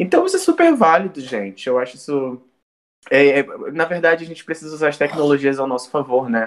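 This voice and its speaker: A man talks fairly quickly at a fairly high pitch, using an ordinary speaking voice with ordinary pitch variation. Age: 20s. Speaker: student podcast co-host, visual artist. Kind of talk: casual chat.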